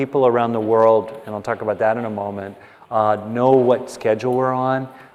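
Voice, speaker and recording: A man talks at a fairly quick pace in a medium pitch. Noticeable background noise sits behind him. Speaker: meditation or workshop leader. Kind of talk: workshop talk to live audience. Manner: animated.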